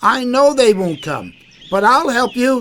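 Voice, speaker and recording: Using a put-on character voice, the speaker talks at a fairly slow pace and a fairly high pitch. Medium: read story.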